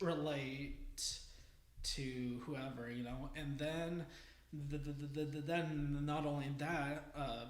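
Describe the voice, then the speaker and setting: A man's fairly high voice, very slow and monotone, with audible room echo. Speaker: camera operator. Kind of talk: casual chat. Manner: halting.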